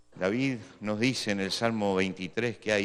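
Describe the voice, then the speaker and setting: At a moderate pace, a man with a fairly low pitch speaks in an unremarkable speaking voice. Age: 60s. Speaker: pastor. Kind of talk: sermon.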